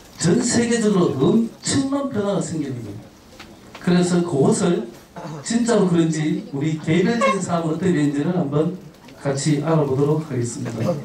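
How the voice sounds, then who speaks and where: Here a man with high pitch talks at a moderate pace, and his pitch swings very widely. Noticeable background noise and audible room echo fill the recording. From Gyeongsang, South Korea. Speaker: travel speaker, head of a travel organization. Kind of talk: lecture to high school students. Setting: school auditorium with student audience. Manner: frequent filler 'uh' pauses.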